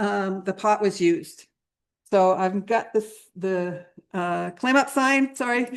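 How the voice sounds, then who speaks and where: A woman is speaking. Her pace is fairly slow. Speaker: graduate student researcher in archaeology. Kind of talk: conference presentation. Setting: symposium with live audience. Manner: hesitant, many fillers.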